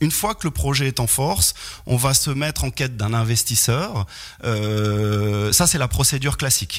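Amid noticeable background noise, a man speaks at a fairly slow pace with a medium pitch and very even loudness. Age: 40s. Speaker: real estate developer. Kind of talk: radio interview, expert explanation. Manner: hesitant, frequent repetitions and fillers.

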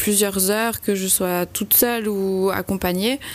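Over noticeable background noise, a woman speaks very slowly at medium pitch in a monotone, flat intonation. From French-speaking Switzerland, Valais Chablais. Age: 20s. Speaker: amateur trail runner, hospital worker. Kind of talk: radio interview. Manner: hesitant, with fillers and repetitions.

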